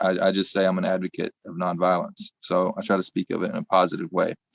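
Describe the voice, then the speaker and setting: A man speaks with a Southern US accent at a moderate pace. The sound is dry and close, with no echo. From US South, rural Arkansas. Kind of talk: podcast interview. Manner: conversational, with fillers and restarts.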